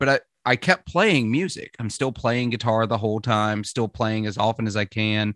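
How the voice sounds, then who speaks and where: Speaking at a moderate pace with hardly any pauses, a man has a medium pitch and a slight Southern US accent. The sound is dry and close with no echo, over a quiet background. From Mississippi, US South. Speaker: podcast host. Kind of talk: casual chat.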